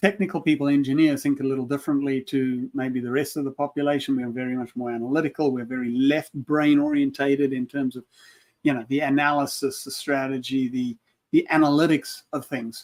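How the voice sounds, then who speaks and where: A man with a South African accent talks at a fairly quick pace. His pitch is fairly high and his intonation monotone and flat. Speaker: leadership consultant, former engineer. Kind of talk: casual panel chat.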